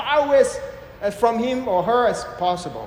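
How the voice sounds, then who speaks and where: The recording carries audible room echo. Noticeable background noise sits under the voice. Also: man. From Malaysia. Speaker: preacher. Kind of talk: sermon. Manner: interactive, questions to audience.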